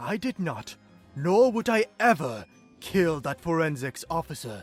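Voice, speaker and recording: Putting on a character voice, a man swings his high pitch very widely at a moderate pace, with faint music in the background. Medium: audio drama. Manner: irritated, dismissive.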